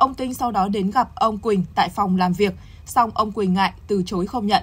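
The voice is somewhat breathy, with ordinary pitch variation at a moderate pace. The recording is very clean, with a silent background. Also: woman. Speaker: news anchor. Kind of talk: news reading. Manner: formal.

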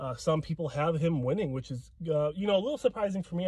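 Over light background noise, a man's somewhat breathy voice has a dark, mellow tone and a dry sound with no echo. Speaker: bodybuilding commentator. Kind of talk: casual vlog commentary. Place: car. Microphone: phone near.

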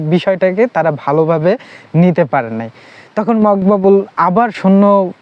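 A man talks at a high pitch that varies in an ordinary way. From Bangladesh, Khulna district (Koyra). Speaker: book reviewer / storyteller. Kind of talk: casual storytelling / book talk. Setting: outdoors, sitting by a haystack in village. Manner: halting.

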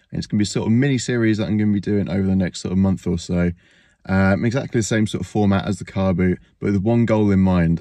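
A dark, mellow tone at a very fast pace, fairly even intonation, and a dry sound with no echo. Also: man, fairly low pitch for a man, quiet background. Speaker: reseller vlogger. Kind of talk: casual vlog chat. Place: car. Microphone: phone near.

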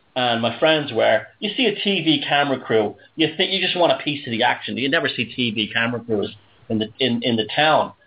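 A man with a Dublin accent at a moderate pace. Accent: Dublin Irish. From Ireland, Dublin working-class area. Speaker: radio show host. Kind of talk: casual chat.

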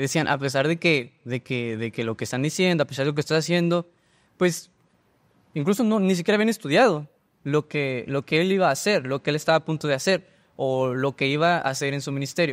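Fairly quick speech from a man, fairly high-pitched, with ordinary pitch variation. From Baja California, Mexico (Rosarito); Baja California, Mexico. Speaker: theology student; guest. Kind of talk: casual discussion. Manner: halting. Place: studio. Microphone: studio mic.

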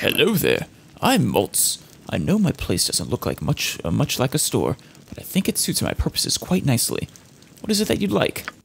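Putting on a gruff character voice, a man speaks at a moderate pace with a fairly high pitch. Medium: game stream. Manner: gruff, impatient.

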